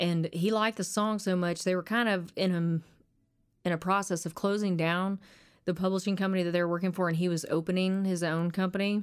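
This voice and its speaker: A woman with a fairly low voice and an Arkansas accent talks at a fairly quick pace with fairly even intonation in a very clean recording with a silent background. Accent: Southern US (Arkansas). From Arkansas, US. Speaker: country singer-songwriter. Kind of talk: casual interview chat. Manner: halting at times when nervous.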